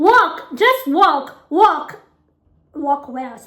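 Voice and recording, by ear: A woman uses a put-on character voice, pitched high and swinging very widely up and down.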